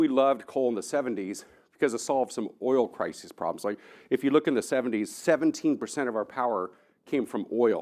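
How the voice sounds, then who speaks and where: An animated man with an American accent, medium pitch and ordinary pitch variation, on a very clean recording with a silent background. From Texas, Austin. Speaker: engineering professor, keynote speaker. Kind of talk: Q&A answer; conference keynote talk. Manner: fast.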